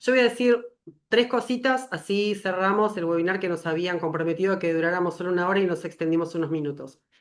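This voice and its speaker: A very fast woman's voice, fairly low in pitch, with ordinary pitch variation. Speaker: webinar moderator, pediatrician. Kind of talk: closing remarks.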